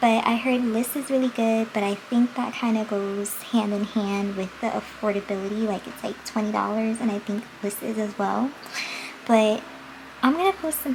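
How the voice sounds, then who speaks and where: A soft-spoken woman talks at a fairly high pitch with fairly even intonation and a moderate pace. Noticeable background noise runs underneath. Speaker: beauty vlogger. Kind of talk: casual makeup vlog chat. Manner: projecting voice, volume goes in and out.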